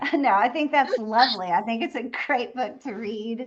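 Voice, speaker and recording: With a Southern US accent, a woman speaks in an animated tone at a fairly high pitch, her intonation lively and her pace fairly slow. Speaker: novelist and audiobook narrator. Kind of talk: casual chat.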